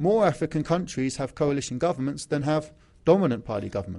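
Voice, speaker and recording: A man's fairly high voice with a dark, mellow tone and an English accent, at a very fast pace. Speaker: academic lecturer on African studies. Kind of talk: conference presentation. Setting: legislature hall with audience. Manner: formal.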